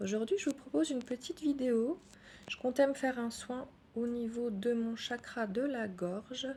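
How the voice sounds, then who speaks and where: Soft-spoken, a woman with a high pitch and a dark, mellow tone speaks at a fairly slow pace. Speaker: energy healer. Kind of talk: guided meditation.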